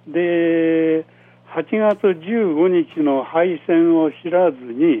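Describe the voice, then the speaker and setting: Speaking at a very slow pace, a man uses a high pitch with ordinary pitch variation. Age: 90s. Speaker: war survivor and former trade association leader. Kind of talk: testimony. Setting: phone call. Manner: deliberate, halting phrasing.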